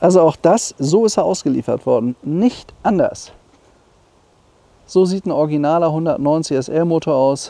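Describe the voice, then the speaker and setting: Long, frequent pauses break up a man's speech at a moderate pace. His fairly high pitch carries a dark, mellow tone and ordinary pitch variation. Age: 60s. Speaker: classic car dealer. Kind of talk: car walkaround presentation. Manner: animated.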